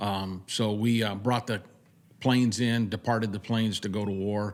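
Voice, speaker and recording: This man has an ordinary speaking voice, pitched fairly low. His intonation stays fairly even. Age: 60s. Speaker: veteran, veterans club president. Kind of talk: casual interview. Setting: on location at golf event.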